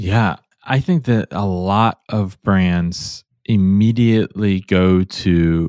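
A man with an American accent, fairly low in pitch with a dark, mellow tone and fairly even intonation, in a dry, close sound with no echo and a very clean recording with a silent background. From US Midwest (Cleveland, Ohio). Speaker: conversion optimization consultant and author. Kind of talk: podcast interview.

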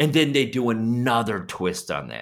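A loud man talks at a medium pitch with vocal fry, an animated, bright, sharp tone and lively intonation. The recording is very clean, with a silent background. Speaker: podcast co-host, super fan. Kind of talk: casual chat.

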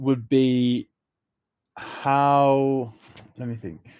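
The man's voice sits at a medium pitch. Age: 20s. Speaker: festival organiser and TV personality. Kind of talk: interview. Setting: remote call from home. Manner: hesitant, many fillers.

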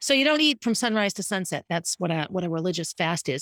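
A woman speaks at a very fast pace with very wide pitch swings. The recording is very clean with a silent background, and the sound is dry and close with no echo. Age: 50s. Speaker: podcaster. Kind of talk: solo personal podcast monologue. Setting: home, living room. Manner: fast talker; animated, laughs often.

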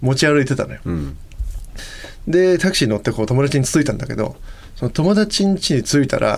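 This man has an unremarkable speaking voice pitched fairly high. His intonation is lively and his pace fairly quick. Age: 30s. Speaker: vocalist and podcast co-host. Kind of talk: casual chat.

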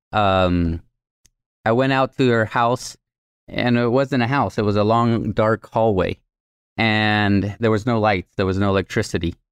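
With a Spanish accent, a man speaks at a fairly low pitch and a fairly slow pace against a quiet background. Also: fairly even intonation, very even loudness, dry, close sound with no echo. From Mexico (Nuevo Laredo), later Guatemala. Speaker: nonprofit microfinance leader. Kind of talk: interview, personal story.

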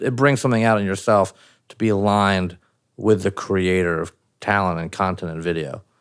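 Fairly low male voice, plain and everyday, its pitch varying in an ordinary way at a fairly quick clip. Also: very clean recording, silent background. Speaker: interviewer. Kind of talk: interview. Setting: home.

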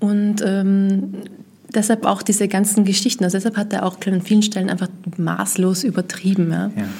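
A woman speaks at a moderate pace and medium pitch, her dark, mellow tone somewhat breathy and her intonation flat and monotone. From Vienna, Austria. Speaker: journalist. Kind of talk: interview.

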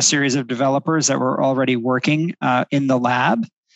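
A plain, everyday voice speaks at a fairly quick pace with an American accent. The intonation stays fairly even. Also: man. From New Jersey. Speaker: architect, firm president. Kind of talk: interview.

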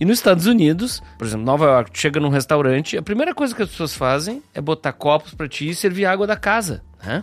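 Talking very fast with hardly any pauses, a man with a fairly high voice makes very wide pitch swings over noticeable background noise. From Rio Grande do Sul, Brazil. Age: 60s. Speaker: speaker and former advertising professional. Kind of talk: casual chat.

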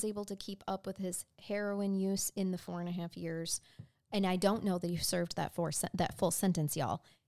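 A woman speaks at a fairly quick pace in a normal speaking voice, with an American accent. The recording is very clean with a silent background and a dry, close sound with no echo. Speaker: true crime podcast co-host. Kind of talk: storytelling; casual chat.

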